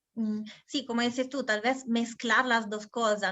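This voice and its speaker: With an Italian accent, a woman speaks at a fairly slow pace in a fairly high pitch with fairly even intonation. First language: Italian (speaking Spanish). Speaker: interviewer. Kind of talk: interview.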